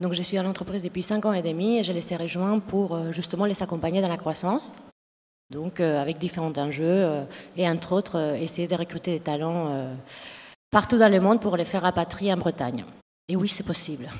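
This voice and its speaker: Speaking fairly quickly, a woman with a fairly low pitch uses ordinary pitch variation. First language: Spanish (speaking French). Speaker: HR director. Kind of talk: panel discussion. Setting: conference stage with audience.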